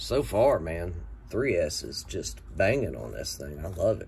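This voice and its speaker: The speaker uses vocal fry and very wide pitch swings at a moderate pace. Light background noise is present. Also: man. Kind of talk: casual vlog chat. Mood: enthusiastic. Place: workshop. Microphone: phone near.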